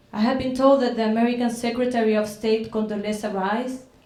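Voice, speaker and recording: With audible room echo, a woman at a fairly high pitch speaks at a moderate pace with fairly even intonation. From Chile. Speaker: artist. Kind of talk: reading aloud.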